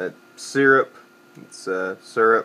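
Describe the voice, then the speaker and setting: This is a man's voice. He speaks with a Southern Appalachian accent. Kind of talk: casual dialect survey word list and answers. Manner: casual, hesitant.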